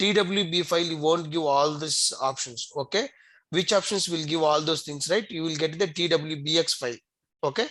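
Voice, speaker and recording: Against a quiet background, a man speaks at a fairly high pitch with a bright, sharp tone. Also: ordinary pitch variation, moderate pace. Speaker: software trainer. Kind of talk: tutorial.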